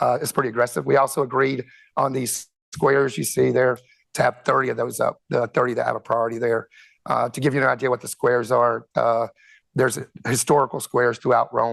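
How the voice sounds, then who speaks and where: A man with an American accent, medium pitch and vocal fry, fairly even intonation and a fairly quick pace, in a dry, close sound with no echo. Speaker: conference speaker, telecom executive. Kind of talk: conference presentation. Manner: halting, many fillers and repetitions.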